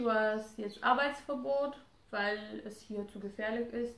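A woman speaks at a fairly high pitch with fairly even intonation. There is noticeable background noise and audible room echo. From Romania. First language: Romanian (speaking German). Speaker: wife of a guest couple. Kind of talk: casual interview.

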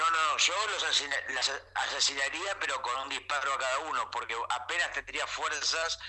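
Talking at a fairly slow pace, a man speaks with an Argentine accent. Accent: Rioplatense Argentine Spanish. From Argentina. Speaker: comedian and writer. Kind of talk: comedic casual chat. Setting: WhatsApp call.

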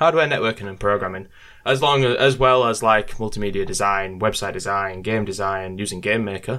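The pace is fairly quick, with ordinary pitch variation, in an English accent. The tone is bright and sharp. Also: man, fairly low pitch for a man. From UK. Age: 20s. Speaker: YouTuber. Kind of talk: casual chat.

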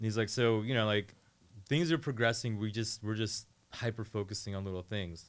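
In an ordinary speaking voice, a man with a fairly low pitch talks at a fairly quick pace with ordinary pitch variation. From Northern Virginia. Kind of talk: casual chat. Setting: radio studio.

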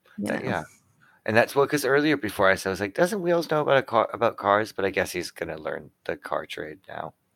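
With a Canadian accent and vocal fry, the speaker moves at a moderate pace through very wide pitch swings, captured in a dry, close sound with no echo on a very clean recording with a silent background. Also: man, medium pitch for a man. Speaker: podcast co-host discussing a TV show rewatch. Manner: casual, conversational.

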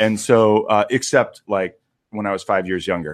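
A man talks at a moderate pace and medium pitch in an unremarkable speaking voice. The recording is very clean, with a silent background. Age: 30s. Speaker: pastor. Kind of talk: casual chat.

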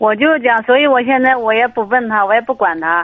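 A woman talks at a fairly quick pace in an ordinary speaking voice, pitched fairly high. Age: 50s. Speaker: caller seeking marriage advice. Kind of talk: phone-in advice call.

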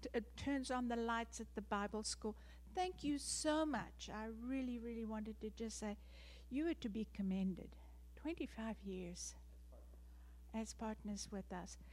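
A woman with a South African accent speaks at a fairly slow pace. She leaves long, frequent pauses. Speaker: missionary. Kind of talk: testimony. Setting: church.

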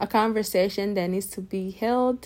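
In a very clean recording with a silent background, a woman with an unremarkable speaking voice talks at a medium pitch and a moderate pace with fairly even intonation. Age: 20s. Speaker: podcast host. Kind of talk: personal monologue. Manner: casual, rambling with repetitions.

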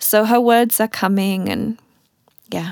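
With a British accent, a woman speaks at a fairly slow pace and fairly even intonation, on a very clean recording with a silent background and a dry, close sound with no echo. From UK. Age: 30s. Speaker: podcast host and artist. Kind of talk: personal monologue.

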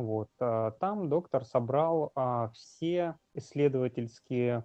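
A man's voice with ordinary pitch variation. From Russian Far East (Magadan). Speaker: brain cancer patient and blogger. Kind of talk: interview testimony. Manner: halting, many fillers.

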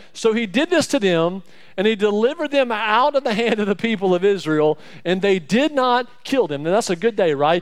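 With an Alabama accent, a man talks at a moderate pace in an animated tone, his pitch swinging very widely. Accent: Southern US (Alabama). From Alabama, US South. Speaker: church staff member preaching as guest speaker. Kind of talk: sermon. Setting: church.

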